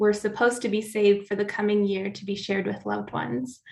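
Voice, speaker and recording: A woman with an American accent, medium in pitch, at a fairly quick pace. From US Pacific Northwest, central Oregon. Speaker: climate justice advocate. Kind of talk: prepared talk.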